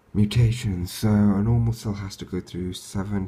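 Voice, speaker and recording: A somewhat breathy man's voice in a dark, mellow tone, with ordinary pitch variation at a moderate pace. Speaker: student. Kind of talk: revision lecture talk.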